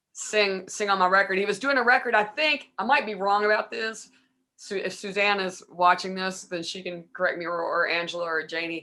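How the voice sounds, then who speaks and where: The voice has a bright, sharp tone, ordinary pitch variation and a fairly quick pace. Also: woman, medium pitch for a woman. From Kentucky, Louisville. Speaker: singer-songwriter and bass player. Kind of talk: interview, casual chat.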